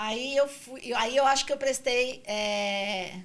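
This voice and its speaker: The woman talks very slowly. Her pitch shifts in an ordinary way. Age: 60s. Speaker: franchising consultant. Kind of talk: podcast interview. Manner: halting.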